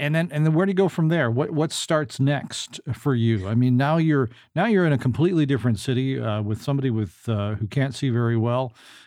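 With a normal speaking voice, a man talks at a fairly quick pace and medium pitch, with lively intonation, very even loudness and hardly any pauses. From Canada. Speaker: podcast host. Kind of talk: casual interview.

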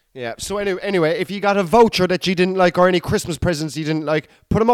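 In a Cork accent, a man speaks in an animated tone, the sound dry and close with no echo on a very clean recording with a silent background. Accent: Cork Irish. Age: 30s. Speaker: comedian podcast host. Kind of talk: casual monologue.

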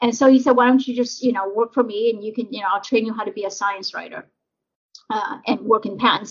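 This woman talks very fast with an American accent. Her pitch is fairly high. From US, raised from early childhood after leaving Vietnam as a refugee. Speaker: patent attorney and diversity council member. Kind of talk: interview. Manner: hesitant, many fillers.

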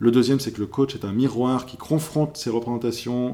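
A man speaks at a moderate pace with a medium-pitched voice and a dark, mellow tone. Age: 30s. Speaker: professional coach. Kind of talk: interview podcast.

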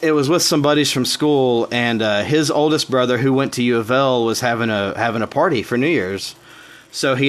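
A man with a Southern US accent speaks at a moderate pace. His pitch is medium, with ordinary pitch variation. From Tennessee. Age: 30s. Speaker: podcast host. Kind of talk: casual chat.

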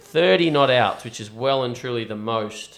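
Ordinary pitch variation marks this man's speech, delivered in an Australian accent. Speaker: podcast host and cricketer. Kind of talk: casual chat. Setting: studio.

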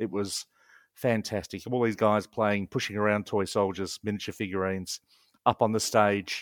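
In an Australian accent, a man speaks at a fairly low pitch and a moderate pace. The sound is dry and close with no echo, in a very clean recording with a silent background. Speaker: wargamer and rules publisher. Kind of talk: casual interview chat. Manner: animated.

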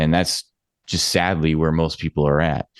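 Against a quiet background, a man with a Canadian accent speaks at a moderate pace and a very deep, low pitch, the sound dry and close with no echo. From Alberta, Canada (Edmonton). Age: 30s. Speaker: yoga and meditation teacher. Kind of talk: interview.

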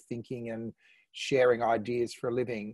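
This man speaks at a fairly quick pace with an Australian accent. His tone is dark and mellow, and the sound is dry and close with no echo. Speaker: online panel host. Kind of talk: casual panel discussion. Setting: video call.

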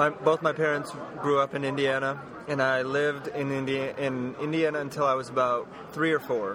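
In a monotone, flat delivery, a man with a medium pitch speaks amid noticeable background noise and audible room echo. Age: 30s. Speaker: comic book artist. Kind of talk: casual interview. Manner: hesitant, many fillers.

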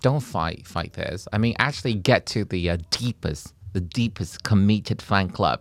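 Talking at a moderate pace with hardly any pauses, a man uses a fairly low pitch with ordinary variation. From Taiwan. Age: 40s. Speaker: comedian. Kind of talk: casual chat. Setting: studio.

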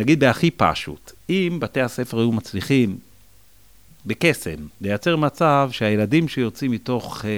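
Very wide pitch swings run through this man's speech. His pace is fairly slow. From Israel, Jerusalem. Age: 40s. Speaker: school principal. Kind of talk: interview conversation.

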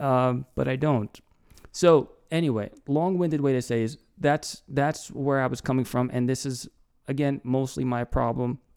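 Heard dry and close with no echo, on a very clean recording with a silent background, a man with an ordinary speaking voice speaks at a moderate pace with fairly even intonation. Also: medium pitch for a man. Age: 30s. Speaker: podcast host. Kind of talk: casual chat.

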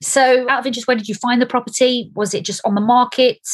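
A woman speaks in a Stoke-on-Trent accent. Her voice is somewhat breathy. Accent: local Stoke-on-Trent. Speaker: property podcast host. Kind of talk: interview.

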